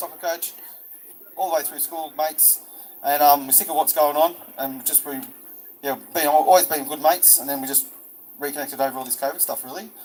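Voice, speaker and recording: Noticeable background noise surrounds a man who speaks at a very fast pace with fairly even intonation. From New South Wales, Albion Park Rail. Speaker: rally speaker. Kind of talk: public speech at a protest rally. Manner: halting.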